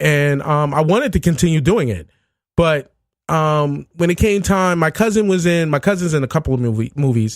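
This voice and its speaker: In a New York accent, a man speaks at a fairly high pitch on a very clean recording with a silent background. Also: lively intonation. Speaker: podcaster. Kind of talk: casual chat. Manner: fast.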